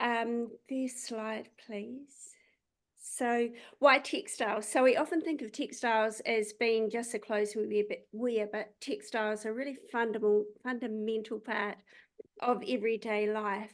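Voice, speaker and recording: The speaker has a New Zealand accent and talks at a fairly slow pace. Intonation stays fairly even over a quiet background. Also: woman, fairly high pitch for a woman. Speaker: company CEO. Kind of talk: product pitch.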